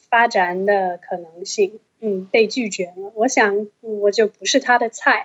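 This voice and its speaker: Very slowly, a woman speaks in a fairly high voice, her intonation fairly even while her loudness swings widely. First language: English (speaking Chinese). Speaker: Chinese-English translator. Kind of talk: casual chat.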